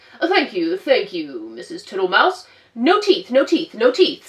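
A woman puts on a character voice, talking fairly slowly in a high register. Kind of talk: children's storytime read-aloud. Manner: slow, cheerful, cheeky, repetitive.

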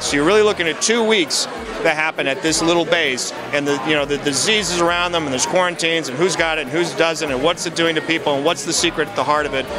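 Talking at a very fast pace with ordinary pitch variation, a man comes through in a dry sound with no echo over noticeable background noise. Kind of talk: interview answer. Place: hall. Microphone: handheld.

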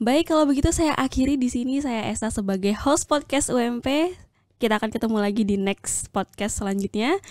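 Speaking at a fairly quick pace, a woman with a high voice sounds upbeat, her intonation lively, in a very clean recording with a silent background. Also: dry, close sound with no echo. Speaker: podcast host. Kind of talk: interview. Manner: casual, upbeat.

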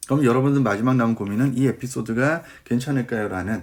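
This man sounds animated and talks at a fairly quick pace. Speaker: cover letter writing coach. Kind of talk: online lecture.

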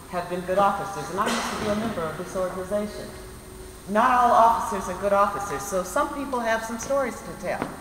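A woman talks at a fairly quick pace. Light background noise and audible room echo are present. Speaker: local council member addressing a community meeting. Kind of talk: public address to a meeting. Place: hall. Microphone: camera far.

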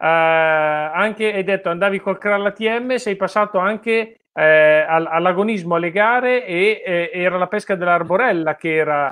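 Speaking at a fairly slow pace, a man uses a high pitch with ordinary variation and a bright, sharp tone. The background is quiet. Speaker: fishing channel host. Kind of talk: interview. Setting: video call. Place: home room. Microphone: video call.

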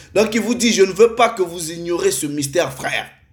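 Music plays in the background as a man speaks at a high pitch. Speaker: preacher. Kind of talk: sermon. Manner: formal; earnest.

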